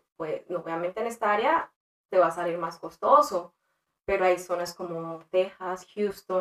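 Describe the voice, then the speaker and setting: This woman has a normal speaking voice at a medium pitch, with ordinary pitch variation. She talks at a moderate pace. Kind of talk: interview.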